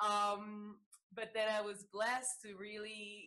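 A woman with a Salvadoran accent talks at a fairly slow pace and medium pitch in a bright, sharp tone. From El Salvador. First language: Spanish. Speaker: yoga teacher and Reiki practitioner. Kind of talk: interview.

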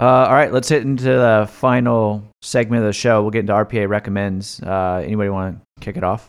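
Speaking in an unremarkable speaking voice at a fairly quick pace, a man with a fairly low pitch and ordinary pitch variation is heard in a very clean recording with a silent background. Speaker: podcast host, wealth management firm founder. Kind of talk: casual chat about personal finance.

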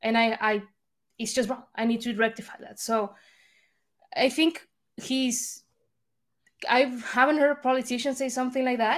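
A woman with a Spanish accent speaks in a high voice at a moderate pace, with fairly even intonation. Her speech has long, frequent pauses. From Argentina. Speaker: think tank analyst. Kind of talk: podcast discussion.

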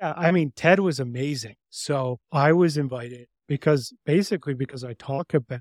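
A man speaks at a moderate pace with ordinary pitch variation and a somewhat breathy voice. The sound is dry and close with no echo, and the recording is very clean over a silent background. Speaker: leadership coach and podcast host. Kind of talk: interview.

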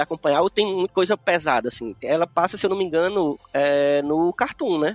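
A high-pitched man talks at a fairly quick pace with lively intonation. The sound is dry and close, with no echo. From Brazilian Northeast. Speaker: podcast host. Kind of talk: scripted outro; casual chat.

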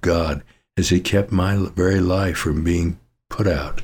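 On a very clean recording with a silent background, a man with an American accent speaks at a moderate pace in a very deep, low pitch, somewhat breathy and with monotone, flat intonation. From Colorado. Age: 80s+. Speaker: pastor. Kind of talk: sermon.

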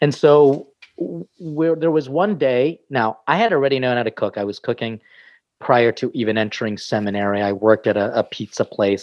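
Here a man with an American accent and an ordinary speaking voice talks fairly quickly at a medium pitch, his intonation lively. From US. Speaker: priest and chef. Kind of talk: casual interview.

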